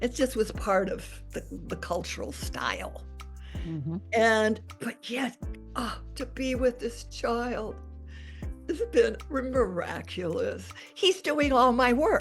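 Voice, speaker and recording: Over music in the background, a woman speaks very slowly with long, frequent pauses. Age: 80s+. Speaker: expressive arts teacher. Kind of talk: interview answer.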